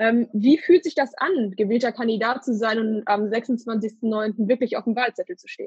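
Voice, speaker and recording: Talking at a moderate pace with hardly any pauses, a woman with an unremarkable speaking voice and fairly high pitch shows ordinary pitch variation and big swings in loudness, in a dry, close sound with no echo. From Ruhr area, Germany (Hattingen). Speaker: podcast host. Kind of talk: interview. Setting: remote recording, alone in a room.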